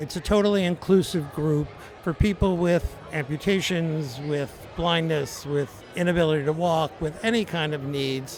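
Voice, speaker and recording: A man speaks in a fairly high pitch. Noticeable background noise runs under his voice. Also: ordinary pitch variation, moderate pace. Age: 70s. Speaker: adaptive athlete and running club member. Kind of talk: interview.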